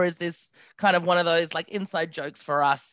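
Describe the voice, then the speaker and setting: Her pitch is fairly low. The woman keeps a moderate pace. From Australia (Adelaide). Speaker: podcast guest. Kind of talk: casual chat.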